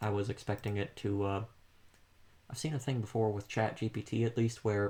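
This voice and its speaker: A somewhat breathy man's voice, fairly low in pitch, at a fairly quick pace. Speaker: student doing a class assignment. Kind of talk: casual discussion. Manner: monotone.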